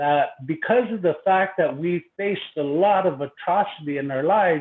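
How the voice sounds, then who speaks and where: Speaking with a Lakota accent, a man talks at a fairly slow pace with ordinary pitch variation. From Pine Ridge, South Dakota (Lakota). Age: 50s. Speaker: university educator, conference presenter. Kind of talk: conference presentation. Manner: halting with many fillers.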